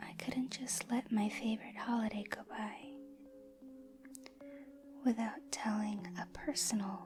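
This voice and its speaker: A soft-spoken woman whispers at a fairly slow pace, leaving long, frequent pauses. Noticeable background noise sits behind her. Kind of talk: ASMR horror story reading, soft-spoken. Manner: soft-spoken, whispered.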